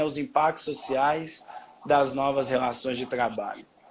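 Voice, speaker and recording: A man talks at a moderate pace. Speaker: history teacher. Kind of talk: live-stream educational chat. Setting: Instagram live video stream. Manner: loud. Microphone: own voice echoing back through the stream.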